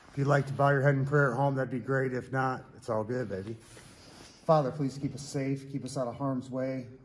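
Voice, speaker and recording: A man's somewhat breathy voice. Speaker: ghost-hunting vlogger. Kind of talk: prayer and spirit questioning. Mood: earnest, calm. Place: factory.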